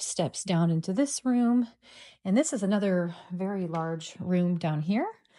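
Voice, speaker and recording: A woman speaks at a medium pitch with ordinary variation. Her tone is dark and mellow. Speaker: real estate agent. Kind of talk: property walkthrough tour. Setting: indoors, walking through a house. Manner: casual, filler-heavy; lowered voice.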